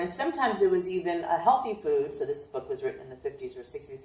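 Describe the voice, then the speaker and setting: A woman speaks very fast with a New York accent. Her intonation is lively. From Brooklyn, New York. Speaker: chiropractor and nutritionist. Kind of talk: informal health talk. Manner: casual with many fillers.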